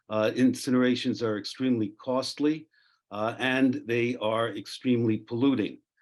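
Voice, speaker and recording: Over a quiet background, a man with a medium-pitched voice talks at a fairly slow pace with fairly even intonation. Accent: New York. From New York City. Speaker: zero-waste expert panelist. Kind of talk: panel talk. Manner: halting, many fillers.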